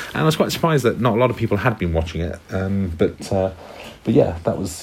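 Over noticeable background noise, a man with a British accent talks at a fairly quick pace in a very deep, low pitch. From UK. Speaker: former English teacher. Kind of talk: recorded monologue.

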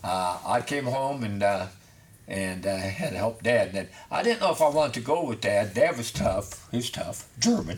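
Against noticeable background noise, a man of medium pitch with an American accent speaks at a moderate pace with lively intonation. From Batesville, Indiana. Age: 70s. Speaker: family business owner, craftsman. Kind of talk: interview. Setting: studio.

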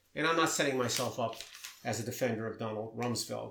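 Against noticeable background noise, a man with an American accent talks very fast at a medium pitch. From Maryland, US. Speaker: podcast co-host discussing news. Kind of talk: casual chat.

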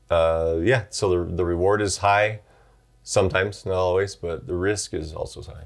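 With music in the background, a man speaks at a very deep, low pitch with fairly even intonation. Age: 40s. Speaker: podcast co-host and YouTuber. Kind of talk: casual chat.

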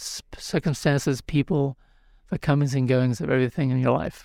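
In a very clean recording with a silent background and a dry, close sound free of echo, a man with a New Zealand accent talks at a moderate pace in a fairly high pitch. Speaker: spiritual teacher and author. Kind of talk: interview. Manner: halting, with frequent restarts.

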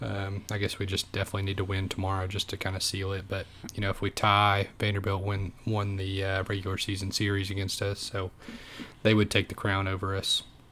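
At a fairly quick pace, a man speaks in a bright, sharp tone with a fairly low pitch and monotone, flat intonation. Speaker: podcast co-host. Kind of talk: casual sports podcast chat.

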